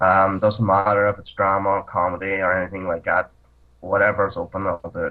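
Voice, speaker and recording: A man talks with a Northern Irish accent. His intonation is monotone and flat. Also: fairly low pitch for a man, fairly quick pace. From Northern Ireland. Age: 20s. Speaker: actor. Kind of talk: casual chat. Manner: halting.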